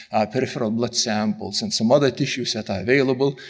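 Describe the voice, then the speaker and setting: This man's voice swings very widely in pitch. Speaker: scientist giving a conference talk. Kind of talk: lecture. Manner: fast.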